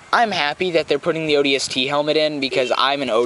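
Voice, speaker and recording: Fairly quick talk from a man amid noticeable background noise. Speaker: podcast co-host. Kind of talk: casual chat.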